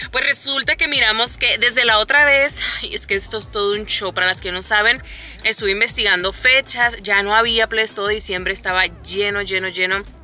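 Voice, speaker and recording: The sound is dry with no echo. A woman speaks at a fairly quick pace with ordinary pitch variation. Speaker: mother vlogger. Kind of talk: casual vlog chat. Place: car. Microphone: phone near.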